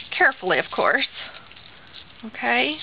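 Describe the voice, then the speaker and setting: Noticeable background noise runs under a woman talking at a fairly slow pace. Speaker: crafter. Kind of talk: tutorial.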